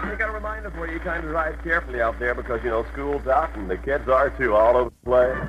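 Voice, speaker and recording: A man with an American accent talks at a very fast pace with hardly any pauses. Noticeable background noise sits behind him. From New Orleans, US. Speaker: radio disc jockey. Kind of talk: radio DJ patter, upbeat. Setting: AM radio broadcast, distant fading signal. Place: studio. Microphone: old recording.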